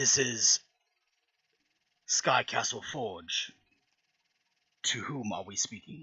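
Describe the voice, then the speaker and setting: Using a raspy put-on character voice at a medium pitch, a man speaks very slowly with long, frequent pauses. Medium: actual play. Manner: formal.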